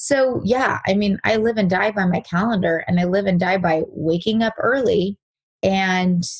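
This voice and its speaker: Medium pitch from a woman, somewhat breathy, with ordinary pitch variation. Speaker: real estate agent. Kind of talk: interview.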